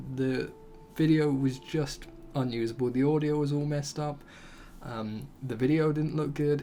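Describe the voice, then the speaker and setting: Noticeable background noise is present throughout. The speech moves at a fairly slow pace. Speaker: gaming youtuber. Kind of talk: let's play commentary. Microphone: mic about a foot away, quiet.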